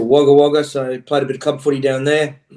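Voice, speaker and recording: With an Australian accent, a man delivers his words in a dark, mellow tone and monotone, flat intonation. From Australia (Queensland). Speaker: rugby coach. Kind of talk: casual interview.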